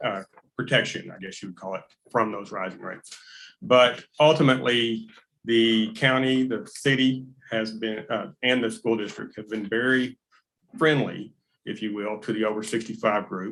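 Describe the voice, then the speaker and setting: Speaking at a moderate pace with ordinary pitch variation, a man shows big swings in loudness. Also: medium pitch for a man. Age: 60s. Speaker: resident making public comment. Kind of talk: public comment at county meeting. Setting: county courtroom meeting. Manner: halting, many fillers.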